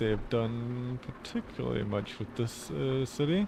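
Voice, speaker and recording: With a Danish accent and lively intonation, a man speaks at a very slow pace and medium pitch over noticeable background noise. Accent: Danish accent in English, now accepted. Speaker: streamer. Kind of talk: casual gameplay commentary. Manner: casual, chatty.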